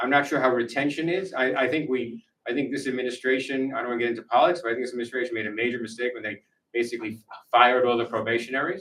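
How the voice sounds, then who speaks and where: Speaking with an American accent, a man races along at a very fast pace. His medium pitch shows ordinary variation. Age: 70s. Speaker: author and former intelligence official. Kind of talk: book talk Q&A. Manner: conversational, blunt.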